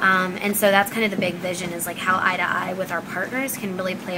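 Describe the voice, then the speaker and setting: A woman at a medium pitch speaks at a very fast pace with fairly even intonation, amid noticeable background noise and audible room echo. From Pakistan. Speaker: startup founder and CEO. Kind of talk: interview. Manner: many filler words (um, like).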